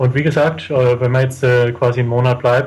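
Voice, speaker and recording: A man's somewhat breathy voice at medium pitch, moving at a moderate pace. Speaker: traveller. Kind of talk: interview.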